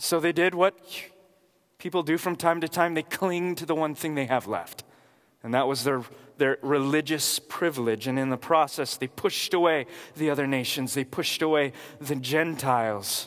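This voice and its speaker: With an American accent, this man has an ordinary speaking voice, pitched fairly high and delivered at a moderate pace. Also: ordinary pitch variation. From California, Watsonville. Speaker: pastor. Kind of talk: sermon.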